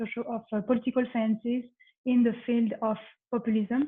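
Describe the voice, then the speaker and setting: Fairly quick speech in a strong French accent. The intonation stays monotone and flat. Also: woman. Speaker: panel discussant and moderator. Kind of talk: panel moderation. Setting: online conference.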